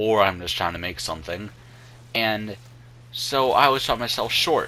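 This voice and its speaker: A man's pitch swings very widely while noticeable background noise sits behind him. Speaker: gaming youtuber. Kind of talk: gameplay commentary. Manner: halting, many fillers.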